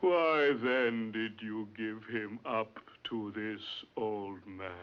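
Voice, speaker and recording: A man's put-on character voice at a medium pitch, with ordinary pitch variation and a very slow pace. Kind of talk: classical tragedy stage acting. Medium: stage play. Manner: stern, commanding.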